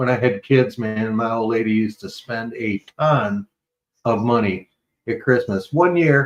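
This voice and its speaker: In a normal speaking voice, a man at medium pitch talks at a fairly slow pace with ordinary pitch variation. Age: 60s. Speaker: morning podcast co-host. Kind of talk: casual chat.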